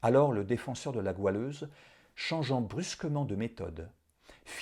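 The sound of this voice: Here the reading voice sounds unforced.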